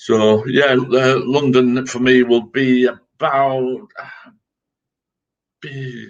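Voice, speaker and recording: This man speaks with a Yorkshire accent. His pitch sits in the medium range. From Yorkshire, England (Scarborough). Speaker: army veteran. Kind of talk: casual chat.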